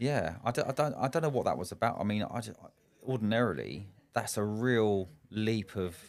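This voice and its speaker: A man with a fairly low pitch and a southern English accent speaks with lively intonation on a very clean recording with a silent background. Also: moderate pace. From England, Slough. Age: 40s. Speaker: business owner and coach. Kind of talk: podcast interview. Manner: halting, frequent repetitions.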